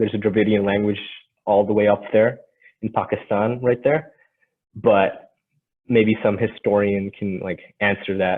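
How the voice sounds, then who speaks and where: A man's fairly low voice in a monotone, flat delivery at a moderate pace. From northern India. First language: Tamil. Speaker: student presenter. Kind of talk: presentation. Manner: halting, many fillers.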